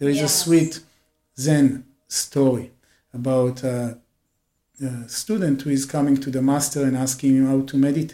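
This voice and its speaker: A dark, mellow tone at a moderate pace, with fairly even intonation and long, frequent pauses. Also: man, medium pitch for a man. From Israel. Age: 40s. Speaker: yoga and meditation teacher. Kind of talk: interview.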